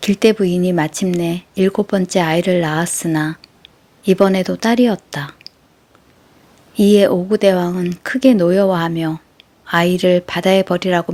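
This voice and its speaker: Dry and close with no echo, the sound carries a dark, mellow tone. The intonation stays fairly even. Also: woman. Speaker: audiobook narrator. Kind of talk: sleep story.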